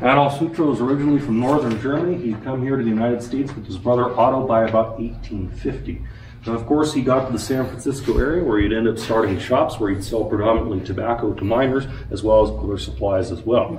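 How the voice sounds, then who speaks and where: Someone speaks at a very fast pace with ordinary pitch variation, with audible room echo and light background noise. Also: man. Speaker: mine tour guide. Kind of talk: guided tour talk. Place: workshop. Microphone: camera far.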